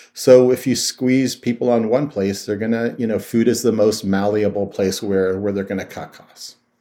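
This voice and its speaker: Barely pausing, a man with an American accent talks at a moderate pace in a fairly low, dark, mellow voice, with fairly even intonation but big swings in loudness. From US Midwest, Youngstown, Ohio. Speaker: food activist and author. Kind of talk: interview. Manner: hesitant with repetitions.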